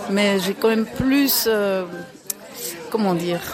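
Crowd noise and audible room echo surround a woman who speaks fairly slowly at a medium pitch. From Belgium. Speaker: dance teacher. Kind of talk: interview.

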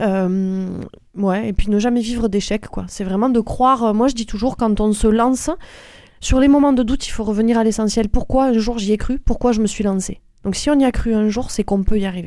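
Her dark, mellow voice sits at a fairly high pitch for a woman. She keeps a moderate pace with fairly even intonation. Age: 40s. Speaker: nurse and semi-professional athlete. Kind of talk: interview.

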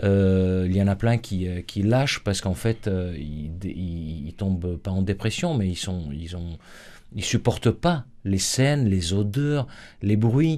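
Speaking at a very slow pace, a man uses a dark, mellow tone, a fairly low pitch and lively intonation. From Syria, Aleppo. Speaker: Syrian refugee. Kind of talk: radio interview. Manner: halting, many repetitions.

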